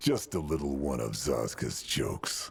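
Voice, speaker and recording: This man uses a put-on character voice with a very deep, low pitch. He talks at a moderate pace. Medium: video game.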